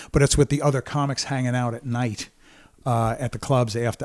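On a very clean recording with a silent background, a man with an American accent has an ordinary speaking voice, fairly even intonation and a moderate pace. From Brooklyn, New York. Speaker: therapist and keynote speaker. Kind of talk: casual chat.

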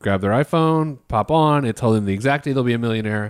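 A man talks at a fairly quick pace with lively intonation in a normal speaking voice. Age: 30s. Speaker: financial planner. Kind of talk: casual chat.

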